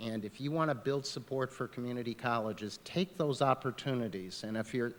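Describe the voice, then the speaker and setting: A man talks at a fairly quick pace with a medium pitch. He has an unremarkable speaking voice. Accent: American. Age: 60s. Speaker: political candidate. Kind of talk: candidate forum closing remarks.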